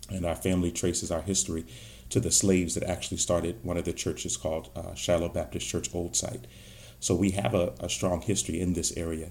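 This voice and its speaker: A man with an American accent speaks at a very fast pace in a very deep, low pitch. His voice has vocal fry and ordinary pitch variation. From Virginia, Stafford County. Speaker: pastor and political candidate. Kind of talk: interview.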